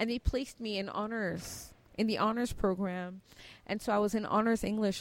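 A woman's medium-pitched voice with an American accent, flat monotone intonation and a moderate pace. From Cameroon. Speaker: tech entrepreneur. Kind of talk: interview.

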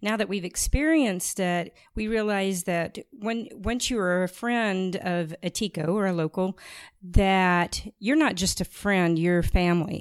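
A plain, everyday voice with an American accent, ordinary pitch variation and a moderate pace, on a very clean recording with a silent background. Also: woman. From rural US. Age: 50s. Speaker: podcast co-host. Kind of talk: podcast interview.

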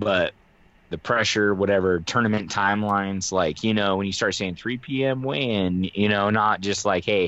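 In an ordinary speaking voice, a man talks with a fairly low pitch, ordinary pitch variation and a fairly slow pace. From Reno, Nevada. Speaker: fishing podcast co-host. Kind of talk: casual chat.

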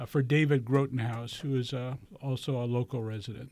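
A man speaks in a medium pitch. He has a normal speaking voice with fairly even intonation. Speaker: realtor and navy veteran. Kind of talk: radio interview. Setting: radio studio.

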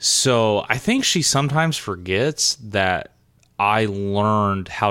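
In a Southern US accent, a man with a fairly low pitch and bright, sharp tone speaks at a fairly slow pace with lively intonation, in a very clean recording with a silent background. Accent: Southern US twang. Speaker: podcast co-host. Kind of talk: casual chat.

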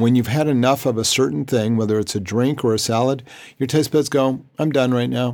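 At a fairly quick pace, a man with an ordinary speaking voice talks at a medium pitch, with ordinary pitch variation and very even loudness. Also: very clean recording, silent background. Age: 60s. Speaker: holistic health practitioner. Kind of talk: interview.

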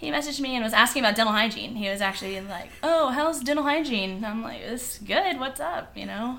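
With lively intonation, a woman speaks at a fairly quick pace. Audible room echo follows her words. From Virginia Beach, Virginia. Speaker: dental hygienist and run club leader. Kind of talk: casual interview.

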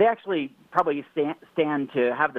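In a plain, everyday voice, a man talks at a fairly quick pace with ordinary pitch variation. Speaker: nutrition book co-author. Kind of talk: interview.

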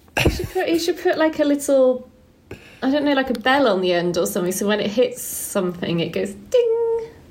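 A woman speaks at a high pitch with very wide pitch swings and a moderate pace. Noticeable background noise runs through the clip. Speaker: guest. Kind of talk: casual chat.

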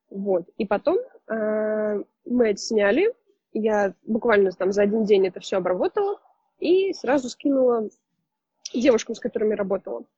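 A woman's somewhat breathy voice with a dark, mellow tone shows ordinary pitch variation and long, frequent pauses, with a dry, close sound and no echo. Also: fairly high pitch for a woman, moderate pace. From Russia, Saint Petersburg. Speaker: photographer. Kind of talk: casual interview.

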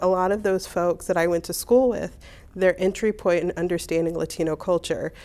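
A woman with a Midwestern American accent speaks at a moderate pace in a dark, mellow tone with fairly low pitch, captured in a very clean recording with a silent background. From US Midwest, Hammond, Indiana. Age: 40. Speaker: oral history interviewee. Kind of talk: personal storytelling.

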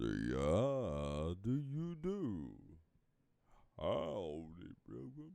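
A man's put-on character voice in a Southern US accent, raspy and very deep, at a very slow pace with long, frequent pauses. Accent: Southern drawl.

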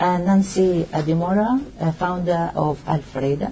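A woman with a fairly low pitch speaks over noticeable background noise. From Tunisia. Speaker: panel moderator. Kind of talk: moderated panel discussion. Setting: live event with audience.

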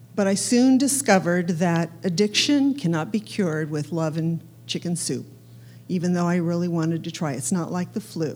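Her intonation is lively. The woman talks at a moderate pace. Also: fairly low pitch for a woman. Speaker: churchgoer giving testimony. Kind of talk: testimony. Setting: church. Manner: nervous.

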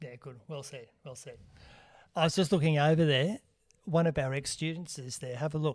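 With an Australian accent, a man speaks at a fairly quick pace, his pitch fairly high and his intonation fairly even. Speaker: podcast host. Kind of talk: casual chat. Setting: Facebook Live stream.

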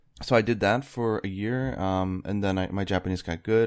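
Speaking at a moderate pace, a man uses a plain, everyday voice with fairly low pitch and ordinary pitch variation. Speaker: video game developer and video creator. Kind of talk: casual interview chat.

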